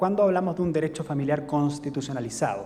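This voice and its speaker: A man's fairly high voice with a Chilean accent, noticeable background noise and audible room echo. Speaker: legal scholar. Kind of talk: lecture. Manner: halting, many fillers.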